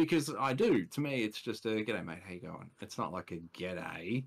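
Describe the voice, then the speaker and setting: A man with a medium pitch and lively intonation speaks at a moderate pace. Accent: Australian. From Australia. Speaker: podcast guest. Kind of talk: casual chat.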